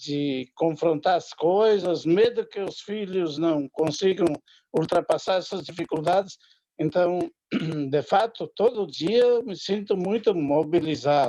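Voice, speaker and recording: A man with a high pitch speaks very slowly. His tone is dark and mellow, with ordinary pitch variation. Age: 70s. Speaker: audience member asking a question. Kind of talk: audience question. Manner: halting.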